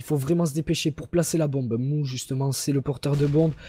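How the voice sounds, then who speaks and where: Speaking at a fairly quick pace, a man has fairly high pitch. His tone is dark and mellow, and somewhat breathy. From Toulouse, southern France. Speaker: esports caster. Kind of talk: live commentary. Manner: animated.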